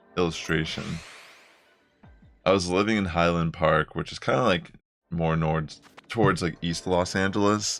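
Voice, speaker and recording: With music playing in the background, a man speaks at a moderate pace in a very deep, low voice. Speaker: gaming streamer. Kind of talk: live stream commentary. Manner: casual, stumbling.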